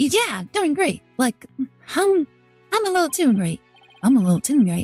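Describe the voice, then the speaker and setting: A woman puts on a character voice, high-pitched with very wide pitch swings. Faint music plays in the background. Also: moderate pace. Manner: nervous, overly cheerful.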